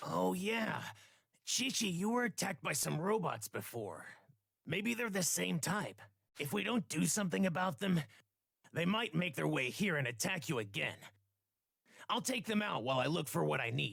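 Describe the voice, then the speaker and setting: Putting on a raspy character voice, a man speaks at a moderate pace with fairly high pitch, very wide pitch swings, and long, frequent pauses. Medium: video game. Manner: earnest, polite.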